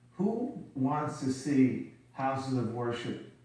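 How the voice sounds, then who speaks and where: Ordinary pitch variation amid audible room echo. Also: man. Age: 60s. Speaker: company CEO. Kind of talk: TV interview.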